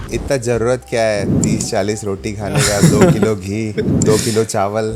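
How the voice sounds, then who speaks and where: While music plays underneath, a man talks in a fairly low voice with ordinary pitch movement. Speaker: podcast host. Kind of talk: interview questions.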